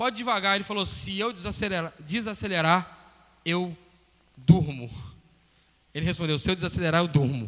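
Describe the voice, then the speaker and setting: A man with a high voice speaks with long pauses that come often. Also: lively intonation, moderate pace. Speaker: pastor. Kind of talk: sermon.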